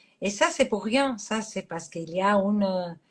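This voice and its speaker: Fairly high pitch from a woman, with ordinary pitch variation. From Catalonia, Spain. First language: Catalan (speaking French). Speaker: astrologer. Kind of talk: interview. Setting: live stream. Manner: halting.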